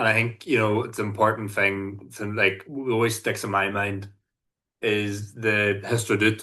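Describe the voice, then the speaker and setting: A man with a Northern Irish accent, bright and sharp in tone, flat and monotone, at a moderate pace. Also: quiet background. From Northern Ireland. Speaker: solidarity activist and sports coach. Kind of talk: podcast interview. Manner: halting, many fillers.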